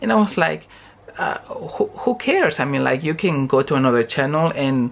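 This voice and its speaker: Against noticeable background noise, someone speaks at a moderate pace with a Spanish accent. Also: man. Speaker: vlogger. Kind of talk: casual chat. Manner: halting.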